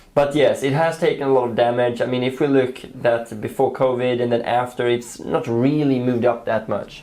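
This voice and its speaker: Noticeable background noise sits under a man with a non-native accent. He speaks at medium pitch and a fairly quick pace, in a monotone, flat intonation. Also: hardly any pauses. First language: not English. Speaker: trading educator. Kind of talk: casual market chat.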